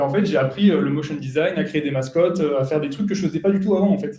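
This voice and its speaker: Fairly high-pitched male voice with a dark, mellow tone, ordinary pitch variation and a fairly quick pace. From France. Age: 20s. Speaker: software developer and consultant. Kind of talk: conference talk. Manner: casual, many fillers.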